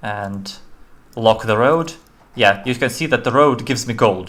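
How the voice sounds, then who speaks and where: A man's medium-pitched voice with a non-native accent and ordinary pitch variation. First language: not English. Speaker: indie game developer; game streamer. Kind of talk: live-stream game demo commentary. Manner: halting, many fillers and restarts.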